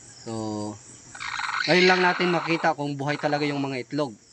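A man's fairly high-pitched voice has ordinary pitch variation, heard against noticeable background noise. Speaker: video creator. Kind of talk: casual vlog narration. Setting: outdoors at a chicken coop at night. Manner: casual.

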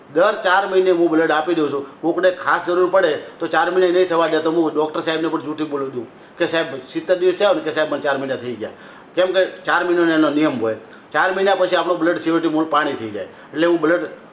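Noticeable background noise sits behind a man whose high voice rises and falls in a typical way. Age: 40s. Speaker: blood donor, businessman. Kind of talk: interview testimony.

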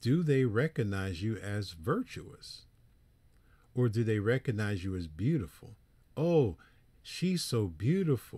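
With a dark, mellow tone and a somewhat breathy delivery, a man at medium pitch makes very wide pitch swings and long, frequent pauses on a very clean recording with a silent background. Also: fairly slow pace. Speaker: preacher. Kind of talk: lecture.

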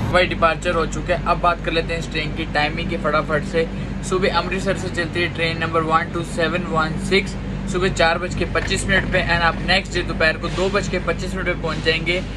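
A man speaks at a moderate pace. The background noise is loud. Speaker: travel vlogger. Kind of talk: casual vlog chat. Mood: annoyed, complaining. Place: train. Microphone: phone near.

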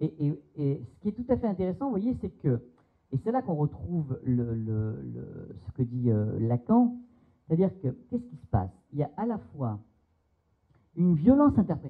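Against a quiet background, a man speaks at a moderate pace in a fairly high, somewhat breathy voice, with very wide pitch swings, big swings in loudness and long, frequent pauses. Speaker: psychoanalyst. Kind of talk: seminar talk. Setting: seminar room with audience. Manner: hesitant, many fillers. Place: hall. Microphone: handheld.

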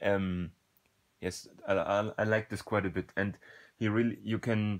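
The pace is fairly slow. Intonation stays monotone and flat. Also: man, fairly low pitch for a man. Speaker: book reviewer. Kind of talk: unscripted book review talk.

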